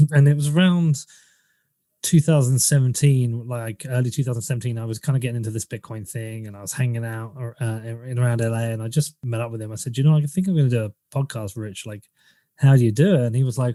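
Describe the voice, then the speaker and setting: A man with an English accent talks at a very fast pace in a medium pitch, his tone dark and mellow, with ordinary pitch variation and big swings in loudness. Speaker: podcaster. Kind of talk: interview. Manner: casual.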